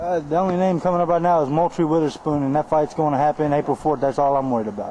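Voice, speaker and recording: Talking at a very fast pace with very even loudness, this man has an Arkansas accent. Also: fairly high pitch for a man, ordinary pitch variation. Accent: Southern US (Arkansas). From US South, Arkansas (Mansfield, near Fort Smith). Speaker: professional boxer. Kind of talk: interview. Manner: casual, laid-back.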